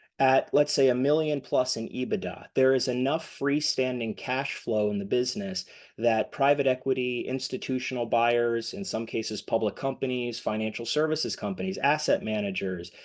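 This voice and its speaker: A plain, everyday voice at a moderate pace, with ordinary pitch variation over a quiet background. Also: man, medium pitch for a man, hardly any pauses. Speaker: M&A advisor for accounting firms. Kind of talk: webinar presentation.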